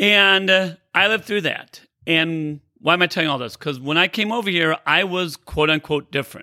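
Loud and animated, a man talks at a high pitch with ordinary pitch variation. His tone is bright and sharp, on a very clean recording with a silent background. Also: moderate pace. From United States (born in Iran, moved at two). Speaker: podcast host and character-building speaker. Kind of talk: solo podcast monologue.

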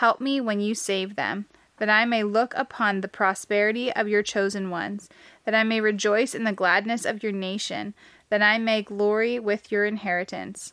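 Moderately paced speech from a woman, a normal speaking voice, fairly high in pitch with fairly even intonation. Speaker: podcast host. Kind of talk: scripture reading aloud. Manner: measured, solemn reading cadence; steady, reverent, even-paced.

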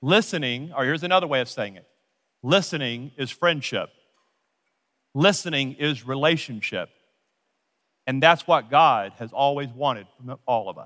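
Over a silent background on a very clean recording, a man with an American accent speaks at a moderate pace in a fairly high, bright, sharp voice, with ordinary pitch variation, big swings in loudness, and long, frequent pauses. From Louisiana, US South. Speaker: pastor. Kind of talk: sermon. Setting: church.

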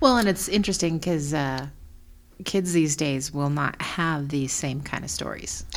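In an American accent, a woman speaks with a very deep, low pitch. The room echo is audible. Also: ordinary pitch variation, moderate pace. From small-town US. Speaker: podcast co-host. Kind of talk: casual chat.

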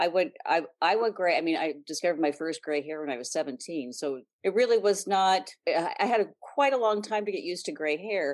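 Over a quiet background, a woman with a plain, everyday voice speaks at a moderate pace, her medium pitch carrying lively intonation. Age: 60s. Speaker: style blogger. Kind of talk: interview.

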